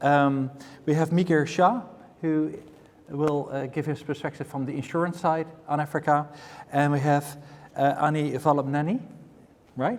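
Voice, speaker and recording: With a Dutch accent, a man speaks at a moderate pace in a fairly high voice with ordinary pitch variation. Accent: Dutch accent, still very much there. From Netherlands. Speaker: panel moderator, infrastructure investor. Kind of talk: conference panel moderation.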